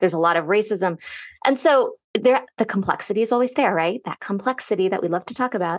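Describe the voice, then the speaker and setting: A woman talks at a very fast pace with lively intonation in a General American accent. The sound is dry and close with no echo, over a quiet background. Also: medium pitch for a woman. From US, Northern Virginia. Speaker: sociology professor. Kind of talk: interview. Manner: warm, conversational.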